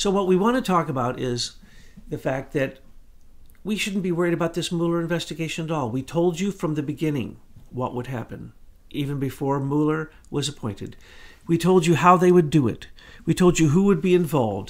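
On a very clean recording with a silent background, a man with a fairly high pitch talks at a fairly quick pace with ordinary pitch variation. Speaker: podcast host, commentator. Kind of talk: opinionated commentary.

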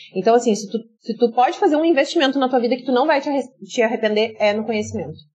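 A woman speaks at a very fast pace. There is noticeable background noise. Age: 30s. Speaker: influencer and entrepreneur, former teacher. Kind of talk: podcast interview.

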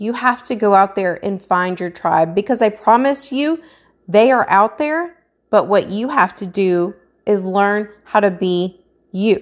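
Someone speaks at a fairly slow pace with lively intonation, on a very clean recording with a silent background. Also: woman. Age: 30s. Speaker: lifestyle and business coach vlogger. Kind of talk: motivational monologue. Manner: animated.

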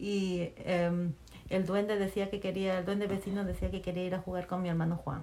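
Over noticeable background noise, intonation stays monotone and flat. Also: woman, medium pitch for a woman, moderate pace. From Peru, Chimbote (coastal port city). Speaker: mother interviewed by her daughter. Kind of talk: casual family interview, storytelling.

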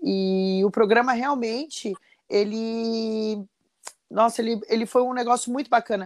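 A woman's fairly high voice carries a fairly even intonation. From Brazil, São José dos Campos, São Paulo state. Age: 40s. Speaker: chef. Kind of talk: casual interview.

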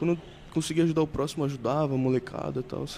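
His tone is dark and mellow. This man speaks at a very fast pace with fairly high pitch. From Baixada Santista, São Paulo state, Brazil. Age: 20s. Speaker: athlete. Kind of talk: casual chat.

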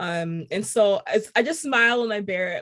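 Lively intonation from a woman with an American accent, fairly high in pitch. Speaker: composer. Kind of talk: casual interview chat.

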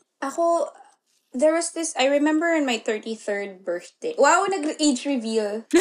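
Her high voice swinging very widely in pitch, a woman speaks at a fairly slow pace. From Philippines. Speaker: English teacher. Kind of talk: casual chat.

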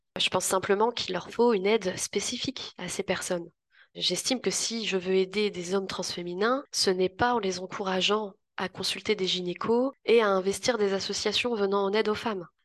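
With an ordinary speaking voice, a woman talks at medium pitch and a moderate pace, her intonation fairly even. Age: 20s. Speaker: youth justice educator. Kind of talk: testimony.

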